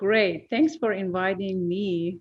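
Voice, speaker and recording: The speaker is a woman with a Persian accent. Her pitch varies in an ordinary way. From Iran. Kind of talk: testimony. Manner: halting, many fillers.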